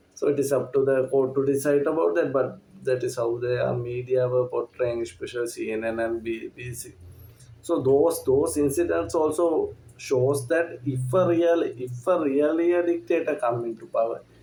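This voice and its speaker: This man has a fairly high pitch, a dark, mellow tone and a somewhat breathy quality, speaking at a moderate pace with ordinary pitch variation. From Sri Lanka. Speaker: movie reviewer. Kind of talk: casual review monologue. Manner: halting, many fillers.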